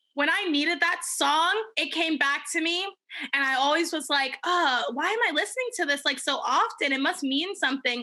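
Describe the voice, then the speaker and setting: Speaking at an extremely high pitch, a woman projects a raised voice with lively, animated intonation, a bright, sharp tone, a moderate pace and very even loudness. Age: 20s. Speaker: podcast co-host. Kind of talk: casual chat.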